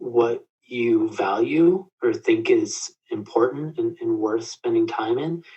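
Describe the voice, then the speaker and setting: A man talks at a very slow pace. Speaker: crisis counselor. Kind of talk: interview conversation. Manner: halting.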